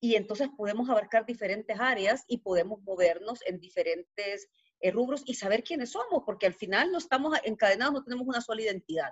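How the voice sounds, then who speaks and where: A woman with a Salvadoran accent talks at a very fast pace, her fairly high pitch carrying lively intonation. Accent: Salvadoran accent, kept despite years abroad. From El Salvador. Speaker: podcast guest speaking about money. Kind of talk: casual interview chat.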